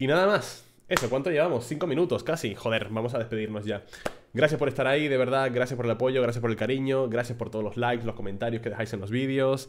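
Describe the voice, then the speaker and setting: A man at a medium pitch, very fast, with ordinary pitch variation. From Spain. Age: 30s. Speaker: gaming YouTuber and streamer; gaming YouTuber, streamer. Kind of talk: casual talk to camera. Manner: animated. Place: home room. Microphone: studio mic.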